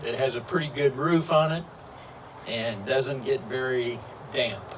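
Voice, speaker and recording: In a noticeably echoing room with some background noise, a man talks at a fairly slow pace. His pitch is fairly high, and he has a Midwestern US accent. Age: 80s+. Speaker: local historian. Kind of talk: public talk.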